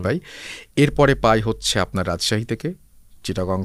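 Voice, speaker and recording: A man with a plain, everyday voice and fairly low pitch uses lively intonation on a very clean recording with a silent background. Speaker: radio host. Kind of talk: podcast interview answer.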